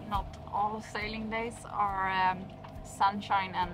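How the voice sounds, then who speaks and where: Over noticeable background noise, the speaker talks at a very slow pace with fairly even intonation. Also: woman. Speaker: sailing vlogger. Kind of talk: casual vlog chat. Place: boat. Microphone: phone near.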